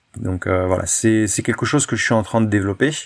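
A man's fairly low voice with ordinary pitch variation, in a very clean recording with a silent background. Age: 30s. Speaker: freediver and former firefighter. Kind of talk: interview. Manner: hesitant, many fillers.

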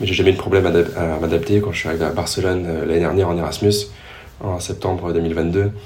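A man speaks in a very deep, low pitch with fairly even intonation. Noticeable background noise and audible room echo are present. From Paris region, Yvelines. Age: 20s. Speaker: triathlete and business student. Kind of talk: interview. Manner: hesitant, many fillers.

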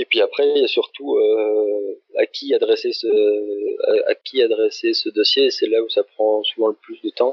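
A man at a fairly slow pace, with hardly any pauses. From Belgium. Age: 30s. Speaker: ultra-distance cyclist. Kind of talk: interview.

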